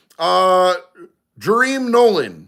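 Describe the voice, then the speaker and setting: A man's animated tone, ordinary pitch variation and music in the background. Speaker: live stream host. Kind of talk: live stream chat reading comments.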